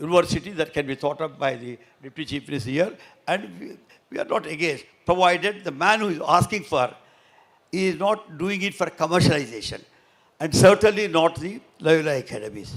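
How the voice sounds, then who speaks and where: A man with vocal fry talks at a fairly quick pace, his intonation lively and his loudness swinging widely. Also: fairly high pitch for a man. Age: 80s+. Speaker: politician and chief guest speaker. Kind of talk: ceremonial speech. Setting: stage with audience. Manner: halting.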